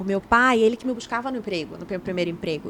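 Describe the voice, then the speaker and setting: A very fast-talking woman amid noticeable background noise. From Brazil, Belém do Pará. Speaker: journalist and TV presenter. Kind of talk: casual interview chat. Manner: talkative.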